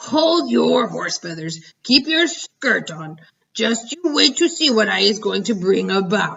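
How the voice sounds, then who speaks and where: A put-on character voice from a woman, medium in pitch and fairly slow in pace. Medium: read story. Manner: ungrammatical, playful invented words.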